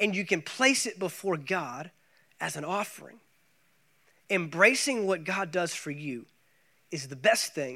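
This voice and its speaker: With an American accent and a bright, sharp tone, the speaker uses lively intonation at a fairly slow pace, with long, frequent pauses. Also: man. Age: 30s. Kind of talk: sermon. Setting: church.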